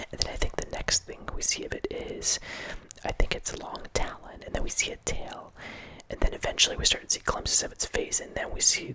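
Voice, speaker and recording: A man whispering at a moderate pace over noticeable background noise. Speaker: horror movie ASMR host. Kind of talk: ASMR movie review ramble. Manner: whispered.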